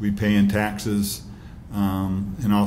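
A man talks with a fairly low pitch. Light background noise sits behind him. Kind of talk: press conference statement. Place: hall. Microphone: podium.

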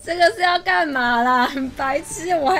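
Clear music plays in the background. A woman speaks at a high pitch and a moderate pace. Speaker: game streamer. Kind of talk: esports match commentary. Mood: amused, exasperated laughing. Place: home room.

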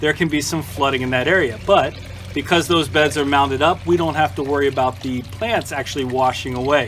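A man at a fairly quick pace with lively intonation and music in the background. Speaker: home gardener channel host. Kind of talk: casual garden tour vlog. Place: garden. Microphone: camera far.

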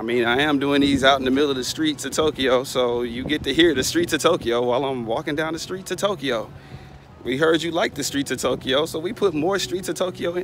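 A man's fairly quick speech in a dry sound with no echo, with faint music in the background. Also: ordinary pitch variation. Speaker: vlogger. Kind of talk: casual vlog chat. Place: street. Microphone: phone near.

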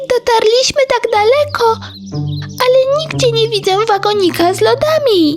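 Over clear background music, a cartoonish character voice speaks at a moderate pace with an extremely high pitch.

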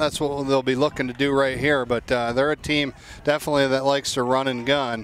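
Noticeable background noise runs under this recording. A man talks at a fairly quick pace with monotone, flat intonation. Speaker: color commentator, lacrosse coach. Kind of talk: live commentary. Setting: outdoors. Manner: frequent fillers and restarts.

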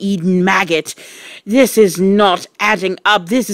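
The reading aloud is plain, with fairly even intonation.

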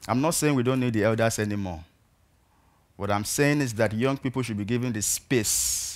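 A man speaks with a Nigerian accent. His pitch variation is ordinary. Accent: Nigerian (Yoruba) English. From Nigeria, southwest (Ibadan). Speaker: peacebuilding activist; speaker. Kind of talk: talk to an audience. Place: stage. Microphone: headset.

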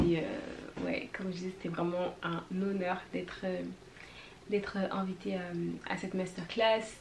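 Noticeable background noise surrounds the recording. A woman speaks at a fairly slow pace. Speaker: vlogger and student; vlogger. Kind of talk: casual vlog talk. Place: home room.

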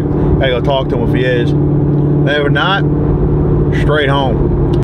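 A man talks over loud background noise. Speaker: car enthusiast vlogger. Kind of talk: casual vlog chat. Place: car. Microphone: camera far.

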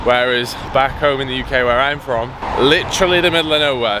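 A man talks at a moderate pace with ordinary pitch variation, the sound dry with no echo and noticeable background noise behind him. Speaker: fitness vlogger. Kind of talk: casual vlog chat. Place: waterside. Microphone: phone near.

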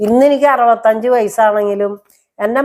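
A woman's fairly high pitch in a normal speaking voice, with ordinary pitch variation, in a very clean recording against a silent background. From Kerala, Thrissur. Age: 60s. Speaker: vlogger and domestic worker. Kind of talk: personal life story monologue.

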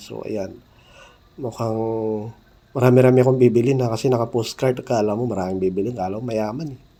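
A man's voice has a medium pitch, fairly even intonation and a dark, mellow tone. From Mindanao, South Cotabato (General Santos area). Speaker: vlogger. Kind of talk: travel vlog narration. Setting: airport, airplane and taxi on the go.

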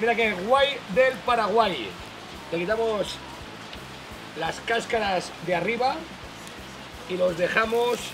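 With music in the background, a man uses a raised, projected voice with ordinary pitch variation. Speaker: bar host. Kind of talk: cooking tutorial. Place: bar.

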